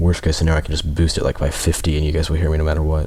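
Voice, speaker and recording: A man's very deep, low voice is heard against noticeable background noise. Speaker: game commentator. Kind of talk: live commentary. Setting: livestream. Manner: soft-spoken.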